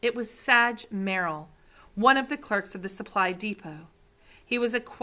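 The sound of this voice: Ordinary pitch variation colors an unforced reading voice.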